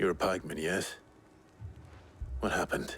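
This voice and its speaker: Against clear background noise, a man uses a put-on character voice with a very deep, low pitch at a moderate pace. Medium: video game. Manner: low-key, terse.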